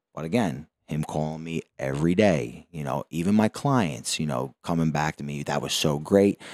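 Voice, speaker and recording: Speaking with a Philadelphia accent, a man with a very deep, low voice keeps a moderate pace and ordinary pitch variation with hardly any pauses, the sound dry and close with no echo. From South Philadelphia, US. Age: 20s. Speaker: boxing gym owner and trainer. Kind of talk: casual interview chat. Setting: in a boxing gym.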